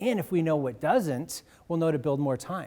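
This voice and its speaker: The man's fairly high voice has a dark, mellow tone and moves at a fairly quick pace with ordinary pitch variation. The recording is very clean, with a silent background. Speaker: leadership speaker. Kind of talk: keynote speech. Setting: stage with audience. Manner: fast.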